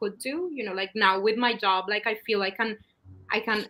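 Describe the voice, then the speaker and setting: A woman speaks at a fairly quick pace with a Spanish accent. Her pitch is fairly high. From Latin America. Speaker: scientist. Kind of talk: panel interview.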